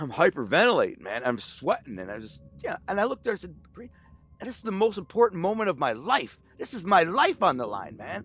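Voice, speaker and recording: Over music in the background, a man talks at a fairly quick pace in an American accent. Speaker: former mobster and author. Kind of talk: storytelling interview. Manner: animated.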